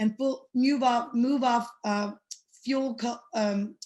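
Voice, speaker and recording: A woman's somewhat breathy voice over a quiet background. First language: not English. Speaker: state legislator. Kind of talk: panel update remarks. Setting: webinar. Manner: many fillers.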